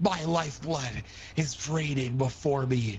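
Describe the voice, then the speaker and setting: A man puts on a character voice with a fairly high pitch, delivered at a fairly slow pace. Background noise is clearly audible. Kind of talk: theatrical fantasy roleplay. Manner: dramatic, solemn.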